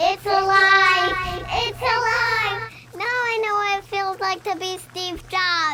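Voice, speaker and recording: In a theatrical, put-on character voice, the speaker delivers lines at an extremely high pitch and a fairly slow pace. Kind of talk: comedy Halloween skit. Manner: theatrical, cackling.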